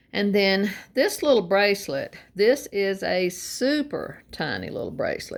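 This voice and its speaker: A woman talks with lively intonation and some vocal fry. The recording is very clean, with a silent background. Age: 70s. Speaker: vintage collector vlogger. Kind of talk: casual show-and-tell.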